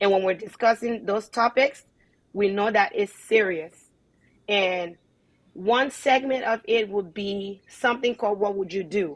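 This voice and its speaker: An animated tone in a Liberian accent, with ordinary pitch variation and a fairly slow pace. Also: woman, medium pitch for a woman. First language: not English. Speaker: online show host. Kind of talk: casual chat.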